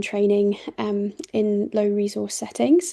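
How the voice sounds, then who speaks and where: A woman with a British accent speaks at a fairly high pitch in a dark, mellow tone. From Britain. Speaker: doctor and charity CEO. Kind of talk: online presentation. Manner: hesitant, many fillers.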